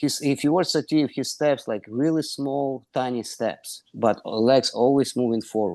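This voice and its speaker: A man with a medium-pitched, dark, mellow voice talks at a fairly slow pace. His pitch varies in an ordinary way over a quiet background. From Ukraine. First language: Russian or Ukrainian. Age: 60s. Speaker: wrestling coach. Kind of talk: interview. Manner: non-native, halting phrasing.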